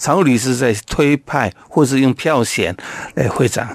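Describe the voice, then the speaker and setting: Fairly slow delivery from an unremarkable speaking voice. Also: man. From Taiwan, Taoyuan Yangmei. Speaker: Hakka community leader and businessman. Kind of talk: interview.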